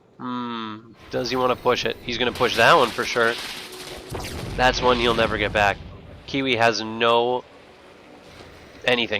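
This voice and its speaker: A man's medium-pitched voice at a fairly slow pace, full of long, frequent pauses, against noticeable background noise. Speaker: game commentator. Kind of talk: live commentary. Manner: animated.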